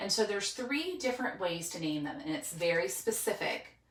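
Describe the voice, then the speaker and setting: Over noticeable background noise, a woman at a medium pitch makes very wide pitch swings. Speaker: teacher. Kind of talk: tutorial. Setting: home spare room with dry erase board.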